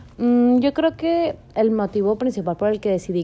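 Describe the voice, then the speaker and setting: The woman's voice is fairly high in pitch, an ordinary speaking voice moving at a moderate speed. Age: 20s. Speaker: university student podcaster. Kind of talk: casual solo monologue.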